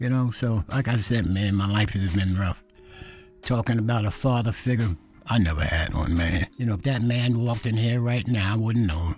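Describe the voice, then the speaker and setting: Over music in the background, a man speaks at a moderate pace with very even loudness. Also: medium pitch for a man, ordinary pitch variation. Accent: New York. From New York City. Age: 70s. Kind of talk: interview answer.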